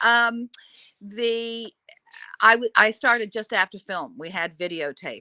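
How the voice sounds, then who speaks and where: A woman's bright, sharp tone, dry and close with no echo. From Australia. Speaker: TV news anchor. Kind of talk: interview.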